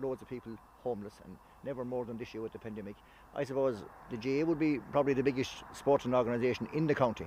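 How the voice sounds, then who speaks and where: Talking at a very fast pace with a western Irish accent, a man holds a medium pitch and fairly even intonation. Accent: Irish (west of Ireland). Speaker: sports organisation official. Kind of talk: interview.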